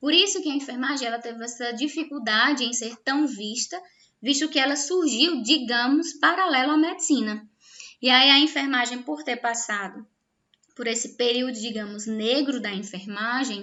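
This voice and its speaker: Her high-pitched voice has lively intonation as this woman talks at a moderate pace. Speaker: nursing teacher. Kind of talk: online lecture.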